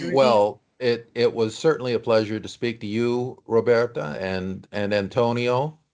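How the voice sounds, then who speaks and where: This is a man with a normal speaking voice at a medium pitch and ordinary pitch variation. He talks at a fairly slow pace with hardly any pauses. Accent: American. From USA. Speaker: actor. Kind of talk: interview.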